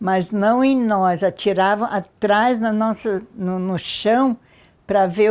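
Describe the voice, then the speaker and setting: Speaking very slowly with fairly even intonation, a woman with a fairly high pitch is heard in a very clean recording with a silent background. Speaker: war survivor. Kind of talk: testimony.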